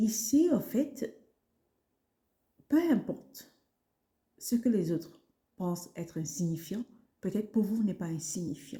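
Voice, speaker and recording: A woman's somewhat breathy, dark, mellow voice at medium pitch, very slow with long, frequent pauses and very wide pitch swings. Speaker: wellness podcaster. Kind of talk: self-help podcast talk. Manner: animated.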